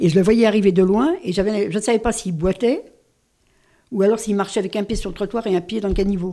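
This woman has a dark, mellow tone at a medium pitch, speaking at a fairly quick pace with fairly even intonation. The recording is very clean, with a silent background. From Paris. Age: 80s+. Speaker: writer. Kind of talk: radio interview.

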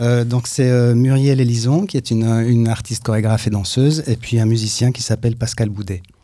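The voice carries a dark, mellow tone. Its intonation stays fairly even. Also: man. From Switzerland. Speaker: dancer and choreographer. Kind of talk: radio interview.

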